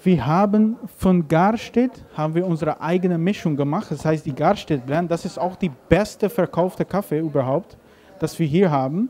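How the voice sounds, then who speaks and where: Speaking with a non-native accent, a man has a high pitch, a dark, mellow tone, ordinary pitch variation and a moderate pace. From Caribbean, Aruba. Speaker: coffee roaster and shop owner. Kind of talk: interview. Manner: halting. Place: cafe. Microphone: handheld.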